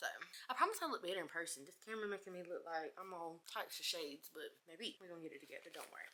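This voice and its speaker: A woman speaks with a bright, sharp tone. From North Carolina (Lumbee, Scotland/Robeson County area). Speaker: beauty vlogger. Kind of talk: casual chat. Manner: chatty, casual.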